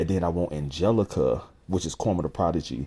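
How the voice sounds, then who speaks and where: The tone is dark and mellow, with vocal fry. Pitch varies in an ordinary way. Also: man. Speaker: rapper and music creator. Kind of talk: casual vlog update. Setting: at home with newborn.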